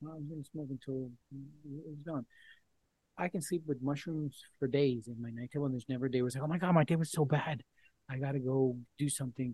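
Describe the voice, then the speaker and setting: A man talks at a very fast pace in a fairly high voice with a dark, mellow tone and a somewhat breathy quality. His intonation is fairly even, and the sound is dry and close with no echo. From Colombia. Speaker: microdosing advocate and former journalist. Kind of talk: podcast interview.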